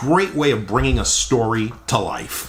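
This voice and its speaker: A man speaks in an upbeat tone. Noticeable background noise can be heard behind him. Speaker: radio channel host. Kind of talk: casual talk to camera.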